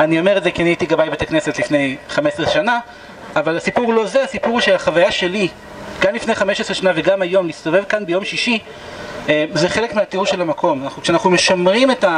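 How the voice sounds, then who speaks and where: Over noticeable background noise, a man speaks at a fairly quick pace. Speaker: tour guide. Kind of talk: guided tour explanation. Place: street.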